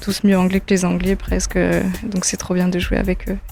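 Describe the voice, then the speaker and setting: A woman with an English accent speaks at a moderate pace over music playing in the background. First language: English (speaking French). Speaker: singer-songwriter. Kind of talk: interview. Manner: hesitant, many fillers.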